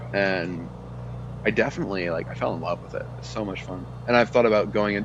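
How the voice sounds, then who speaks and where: A man with an American accent, very deep and low in pitch with vocal fry, very wide pitch swings, big swings in loudness, a very fast pace and audible room echo. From Texas. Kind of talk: casual chat.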